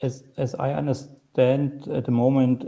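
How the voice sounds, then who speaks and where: A man talks with a German accent in a dark, mellow tone. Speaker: software developer and conference speaker. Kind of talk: Q&A after a technical talk. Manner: halting.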